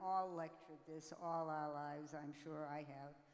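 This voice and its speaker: A woman's very deep, low voice comes through over noticeable background noise. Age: 80s+. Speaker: breast cancer awareness speaker, panelist. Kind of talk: testimony.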